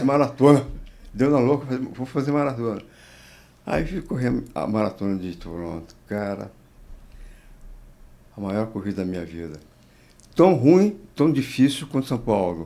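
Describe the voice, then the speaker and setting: This man talks fairly slowly at a medium pitch, his dark, mellow tone rising and falling in very wide pitch swings, with big shifts in loudness and long, frequent pauses. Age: 80s+. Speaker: marathon runner. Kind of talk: interview answer.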